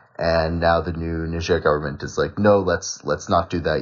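A man speaks with an American accent. His pitch is very deep and low, his pace moderate. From United States. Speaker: student researcher. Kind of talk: casual discussion.

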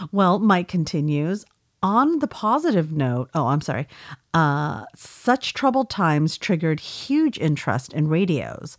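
On a very clean recording with a silent background, a woman talks at a fairly slow pace in a fairly low pitch with very wide pitch swings. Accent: Californian. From California. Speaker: podcast co-host. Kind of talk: casual chat.

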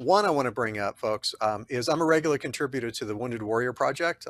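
On a very clean recording with a silent background, a man speaks in an enthusiastic tone at a fairly quick pace, his medium-pitched voice showing ordinary pitch variation and sounding dry and close with no echo. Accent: American. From Texas. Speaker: podcast host, physician. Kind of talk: interview.

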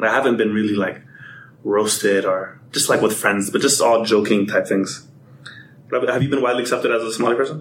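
With an American accent, a man speaks at a medium pitch and a fairly quick pace, using fairly even intonation in an ordinary speaking voice. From Atlanta, US South. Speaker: podcast guest. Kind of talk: casual chat.

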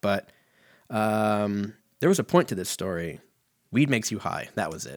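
Over a silent background in a very clean recording, a man with an American accent talks at a moderate pace, with long, frequent pauses and big swings in loudness. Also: fairly low pitch for a man. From Southern California, Riverside area. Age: 30s. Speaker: podcast host. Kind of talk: casual solo monologue.

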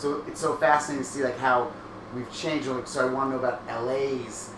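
With noticeable background noise and audible room echo, a man talks in a flat monotone. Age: 30s. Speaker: podcast host. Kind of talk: casual chat. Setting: livestream.

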